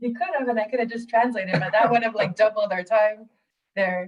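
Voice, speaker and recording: A somewhat breathy woman's voice with a Canadian accent. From northern Canada, Great Bear Lake community. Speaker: community conservation worker. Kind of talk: webinar talk. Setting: video call.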